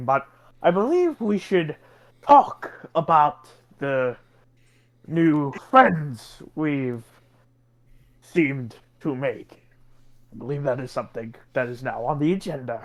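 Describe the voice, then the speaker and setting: A man puts on a character voice, fairly high-pitched for a man, speaking at a fairly slow pace with ordinary pitch variation, big swings in loudness, and long, frequent pauses. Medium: actual play. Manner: formal, smug.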